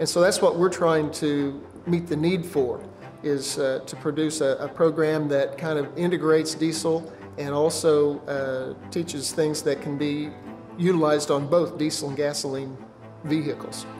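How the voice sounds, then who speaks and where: Light background noise accompanies a man who talks at a moderate pace with fairly even intonation. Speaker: automotive technology instructor. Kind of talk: interview answer. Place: studio.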